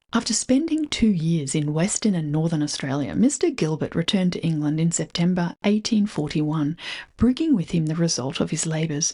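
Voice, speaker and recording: A woman's somewhat breathy voice, fairly low in pitch and dark and mellow in tone, with lively intonation at a fairly quick pace. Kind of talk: reading aloud from a 19th-century preface.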